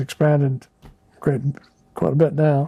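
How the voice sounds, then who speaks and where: A man with a western US accent speaks at a moderate pace in a fairly high pitch, his dark, mellow tone somewhat breathy and his intonation fairly even. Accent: western American. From Idaho, Boise area. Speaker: local resident interviewee. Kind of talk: oral history interview. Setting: at home. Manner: hesitant, with many fillers.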